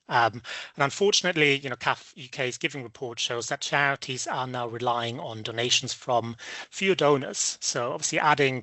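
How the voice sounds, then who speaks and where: In a slight German accent, the speaker goes at a fairly quick pace with ordinary pitch variation. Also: man. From Germany. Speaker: business development presenter. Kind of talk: webinar presentation. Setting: online webinar. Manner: hesitant, many fillers.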